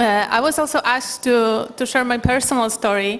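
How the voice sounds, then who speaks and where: A woman with a Polish accent speaks at a fairly high pitch and a moderate pace. Noticeable background noise runs underneath. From Poland. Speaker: human rights lawyer and panel moderator. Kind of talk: conference talk. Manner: halting.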